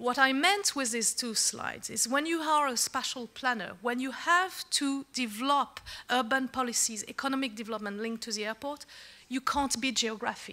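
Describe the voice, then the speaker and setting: Raising and projecting her voice, a woman with a French accent speaks at a moderate pace in a high pitch with a bright, sharp tone. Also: ordinary pitch variation. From France. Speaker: secretary general of an organization. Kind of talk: conference speech. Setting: conference with audience.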